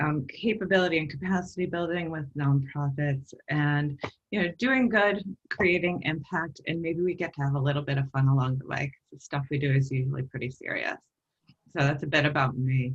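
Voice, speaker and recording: The speaker has an American accent and a somewhat breathy voice. The pace is fairly quick, with ordinary pitch variation. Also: woman, very deep, low pitch for a woman. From US, New York. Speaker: social worker, nonprofit consultant, workshop presenter. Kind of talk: webinar presentation.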